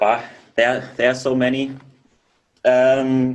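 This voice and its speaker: With a German accent, a man speaks at a fairly slow pace in a medium pitch. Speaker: professional drummer. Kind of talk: interview answers. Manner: halting.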